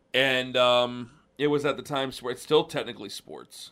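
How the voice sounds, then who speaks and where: At a moderate pace, a man talks in a medium pitch with a normal speaking voice. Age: 30s. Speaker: podcast host. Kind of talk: casual chat.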